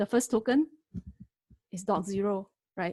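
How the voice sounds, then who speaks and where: A woman speaks at a moderate pace in a somewhat breathy, medium-pitched voice with ordinary pitch variation, the sound dry and close with no echo. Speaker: lecturer teaching AI. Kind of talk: webinar tutorial. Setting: online webinar.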